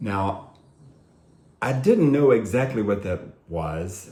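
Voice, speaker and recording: A man's somewhat breathy voice with ordinary pitch variation, in a room with audible echo. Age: 60s. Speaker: guitar teacher doing a DIY video. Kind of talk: tutorial. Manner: slow; halting.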